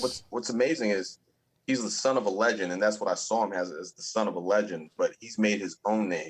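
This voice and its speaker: In a dry, close sound with no echo, a normal speaking voice moves at a fairly quick pace. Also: man. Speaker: ring announcer. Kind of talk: podcast guest interview.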